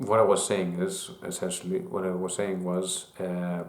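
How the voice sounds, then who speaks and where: Speaking very slowly with a non-native accent, a man is heard with audible room echo. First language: not English. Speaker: YouTuber. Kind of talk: casual monologue. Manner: halting, with fillers and restarts.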